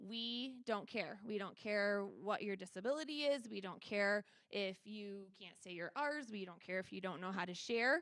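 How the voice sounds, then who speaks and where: A woman talks at a moderate pace with hardly any pauses. Her voice sits at a medium pitch and shows ordinary pitch variation. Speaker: school special education director. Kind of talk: presentation at a school board meeting. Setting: board meeting room with microphone. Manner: loud.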